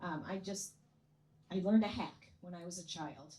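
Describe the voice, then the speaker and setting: The voice carries an American accent. It sounds somewhat breathy. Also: woman. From US Midwest, Chicago area. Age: 60s. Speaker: comedian. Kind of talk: stand-up. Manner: animated.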